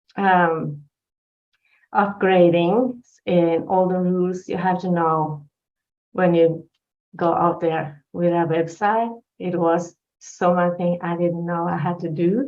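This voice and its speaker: In a Norwegian accent, the speech moves at a very slow pace with fairly even intonation and long, frequent pauses. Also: woman, fairly low pitch for a woman. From Norway. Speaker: life coach. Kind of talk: personal testimony in interview. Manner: halting.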